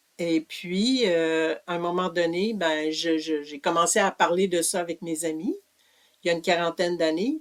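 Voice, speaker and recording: At a fairly slow pace, a woman with a Quebec accent speaks at a fairly low pitch, the sound dry and close with no echo. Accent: Québécois French. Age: 70s. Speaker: author and community living advocate. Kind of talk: interview. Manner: hesitant, many fillers.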